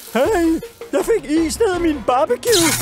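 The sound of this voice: This is a cartoonish character voice. It is pitched high.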